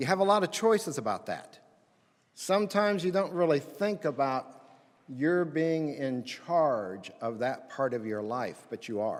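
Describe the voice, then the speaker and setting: Very wide pitch swings mark this fairly slow delivery in an American accent. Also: man, fairly high pitch for a man. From Indiana, US Midwest. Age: 60s. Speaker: pastor. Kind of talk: chapel talk. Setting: chapel with student audience.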